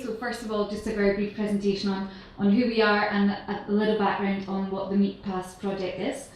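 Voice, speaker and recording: Speaking at a moderate pace, a woman with a medium-pitched voice is heard with audible room echo and noticeable background noise. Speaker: sustainability researcher. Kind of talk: conference presentation. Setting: conference stage with audience. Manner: hesitant, many fillers.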